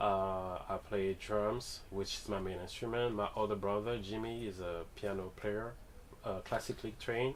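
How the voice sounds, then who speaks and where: Speaking with a Guadeloupean accent, a man keeps a moderate pace, a fairly low pitch and fairly even intonation. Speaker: musician, drummer. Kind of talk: radio interview.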